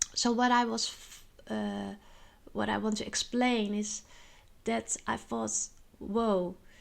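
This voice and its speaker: A woman with a Dutch accent speaks at a very slow pace. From Netherlands. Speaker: spiritual vlogger. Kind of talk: personal monologue vlog. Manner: halting, many filler words.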